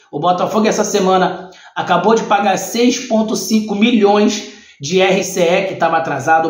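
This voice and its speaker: The speech moves at a moderate pace with audible room echo against a quiet background. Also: man. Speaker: football channel host. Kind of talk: commentary. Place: home room.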